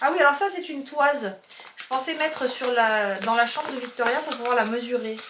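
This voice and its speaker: A high-pitched woman talks at a fairly quick pace with ordinary pitch variation, amid noticeable background noise and audible room echo. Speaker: YouTuber, haul vlogger. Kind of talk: casual haul video chat. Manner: chatty, halting with fillers.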